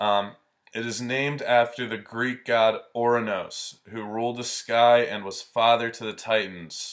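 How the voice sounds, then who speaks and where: Monotone, flat intonation from a man at medium pitch, with a fairly slow pace and big swings in loudness. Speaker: astrology video host. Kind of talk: informal explainer video. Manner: casual with many filler ums.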